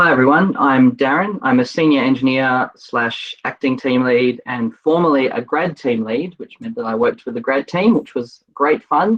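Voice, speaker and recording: Speaking in an Australian accent, a man uses a medium pitch and lively intonation. He keeps a moderate pace with hardly any pauses. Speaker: software engineer. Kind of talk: self-introduction on a video call. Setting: video call from home office.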